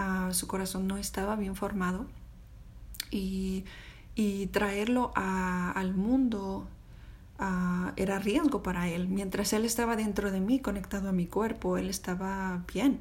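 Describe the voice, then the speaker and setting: This woman's voice is somewhat breathy, with a medium pitch and fairly even intonation. She speaks at a very slow pace amid audible room echo. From Mexico. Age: 30s. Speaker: podcast host. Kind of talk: personal storytelling monologue. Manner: halting, many fillers.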